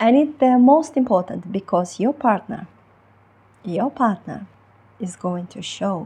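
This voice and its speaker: In a Ukrainian accent, the voice is dark, mellow and somewhat breathy. It moves at a very slow pace with lively intonation. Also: woman. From Ukraine. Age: 30s. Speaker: relationship coach. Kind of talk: online coaching talk. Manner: halting, many fillers.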